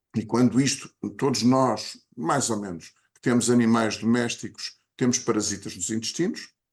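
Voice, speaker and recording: A man talks at a moderate pace in a normal speaking voice. His pitch sits in the medium range. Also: ordinary pitch variation. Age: 60s. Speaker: podcast co-host. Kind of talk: casual chat.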